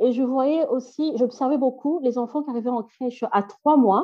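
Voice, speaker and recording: Against a quiet background, a woman with a high pitch and a dark, mellow tone talks at a fairly slow pace with ordinary pitch variation. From Belgium, Brussels. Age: 30s. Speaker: NGO founder, childcare trainer. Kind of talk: interview.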